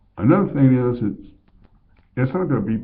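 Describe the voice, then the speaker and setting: Audible room echo surrounds a man with an American accent whose pitch swings very widely. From Colorado, US. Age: 50s. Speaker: vlogger. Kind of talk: casual monologue.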